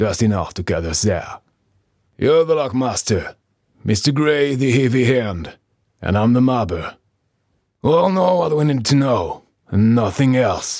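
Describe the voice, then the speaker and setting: A man puts on a character voice at a medium pitch with very wide pitch swings, moving at a moderate pace with long, frequent pauses on a very clean recording with a silent background. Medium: read story. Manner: terse, calm.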